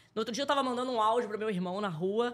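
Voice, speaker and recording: This woman speaks at a high pitch. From Rio de Janeiro, West Zone suburb. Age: 30s. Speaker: former TV news reporter. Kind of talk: casual interview.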